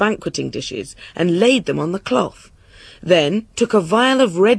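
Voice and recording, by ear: A natural reading-aloud voice, its intonation lively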